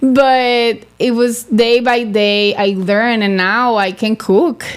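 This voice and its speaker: The speaker talks at a very slow pace with a Spanish accent and fairly even intonation. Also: woman, fairly high pitch for a woman. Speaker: beauty pageant titleholder. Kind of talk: interview. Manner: halting.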